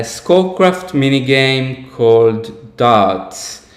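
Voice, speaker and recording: A man with an Israeli accent speaks at a very slow pace against noticeable background noise. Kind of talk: live stream host introduction.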